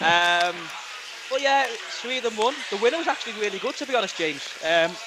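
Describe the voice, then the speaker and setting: A man's raised, projected voice with a Liverpool accent, high-pitched and fairly quick, with lively intonation over noticeable background noise. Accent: Liverpool (Scouse). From Liverpool, England. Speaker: poker commentator. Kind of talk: live commentary.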